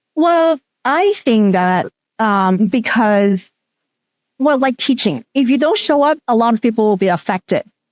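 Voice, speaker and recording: A woman speaks at a fairly high pitch with lively intonation. The recording is very clean, with a silent background. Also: fairly slow pace. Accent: Cantonese. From Hong Kong. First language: Cantonese. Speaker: teacher educator and researcher. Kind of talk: interview.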